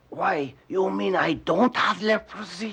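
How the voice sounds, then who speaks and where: At a fairly slow pace, a cartoonish character voice delivers its lines. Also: man, high pitch for a man. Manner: panicky, stammering.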